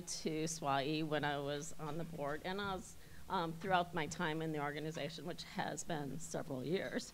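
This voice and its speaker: A woman with an American accent speaks at a moderate pace with a fairly low pitch and fairly even intonation. Audible room echo surrounds her voice. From US Midwest. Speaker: airport executive, election candidate. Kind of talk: campaign speech.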